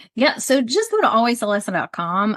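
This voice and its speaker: A woman speaks against a quiet background, her voice sounding dry and close with no echo. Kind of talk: podcast interview. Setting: podcast. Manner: fast; animated.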